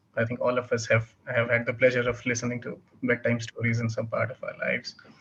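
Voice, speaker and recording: The speaker is a man. He talks with a Bihar accent. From India, Bihar. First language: Bhojpuri. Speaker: writer and editor. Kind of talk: interview. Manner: halting, many fillers.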